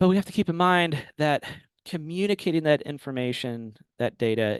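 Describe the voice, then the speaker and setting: A man with an ordinary speaking voice talks at a moderate pace with lively intonation. The sound is dry and close with no echo, over a quiet background. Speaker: urban planner presenting a webinar. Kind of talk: webinar presentation. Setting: webinar.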